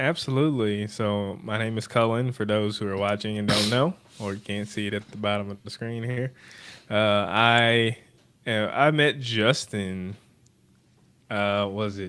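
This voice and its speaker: This is a normal speaking voice. It moves at a fairly slow pace with ordinary pitch variation. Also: man, fairly low pitch for a man. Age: 20s. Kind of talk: casual chat.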